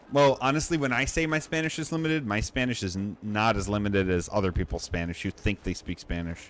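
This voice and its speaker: Talking at a very fast pace with hardly any pauses, a man uses a fairly low pitch and very wide pitch swings. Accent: American. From United States. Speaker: gaming streamer. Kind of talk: casual chat. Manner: casual, filler-heavy.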